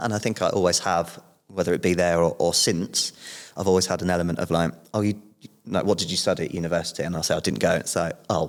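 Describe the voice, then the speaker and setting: Very deep and low, a man's voice rushes along at a very fast pace with ordinary pitch variation. The recording is very clean, with a silent background. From southern England, Portsmouth. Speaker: podcast guest, businessman. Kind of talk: casual interview chat.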